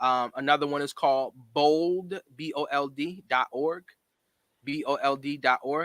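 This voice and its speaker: An ordinary speaking voice at a fairly slow pace, fairly even in intonation, in a dry, close sound with no echo. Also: man, fairly high pitch for a man. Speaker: college scholarship mentor. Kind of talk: panel discussion.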